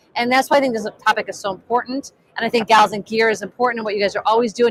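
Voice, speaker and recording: A woman with a fairly high pitch, an excited tone and a very fast pace. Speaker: live stream host, film director and coach. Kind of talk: live interview at trade show. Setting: trade show floor booth. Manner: loud, excited; trying to speak quietly.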